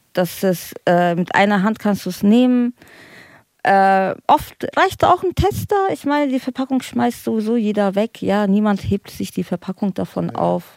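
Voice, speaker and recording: A woman at medium pitch with lively intonation, a plain, everyday voice, fairly slow pace and a dry, close sound with no echo. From Frankfurt. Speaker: recovering drug addict. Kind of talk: casual chat.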